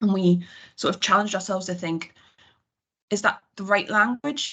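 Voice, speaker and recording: A woman talks in a bright, sharp tone with a Geordie accent. The background is quiet. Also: medium pitch for a woman, ordinary pitch variation. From northern England, Newcastle area. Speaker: HR team member presenting to managers. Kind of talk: work presentation on video call. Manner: fast.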